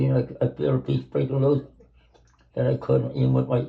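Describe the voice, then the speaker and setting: This man's pitch swings very widely. Vocal fry runs through his voice. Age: 80s+. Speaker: retired grandfather. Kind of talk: casual talk, explaining his routine.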